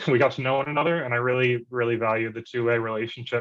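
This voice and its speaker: A man with an American accent speaks at a medium pitch with fairly even intonation. He has a plain, everyday voice against a quiet background. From USA, urban area. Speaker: public health researcher. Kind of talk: event reflection talk. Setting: video call.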